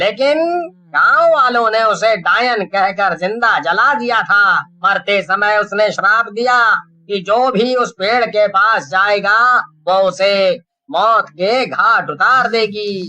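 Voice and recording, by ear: A man puts on a high, bright, sharp character voice, speaking slowly with few pauses and ordinary pitch variation.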